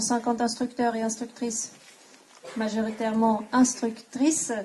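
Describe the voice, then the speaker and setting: A woman speaks at a moderate pace in a monotone, flat intonation. There is noticeable background noise. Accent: non-native. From Switzerland. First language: not French (speaking French). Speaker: equine coaching instructor. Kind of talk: conference talk. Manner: halting.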